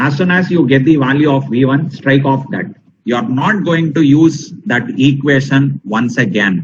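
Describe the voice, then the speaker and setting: Somewhat breathy and with a Tamil accent, a man talks at a fairly high pitch with ordinary pitch variation. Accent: Tamil-accented Indian English. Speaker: teacher. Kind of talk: lecture. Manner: slow, deliberate; emphatic, repetitive.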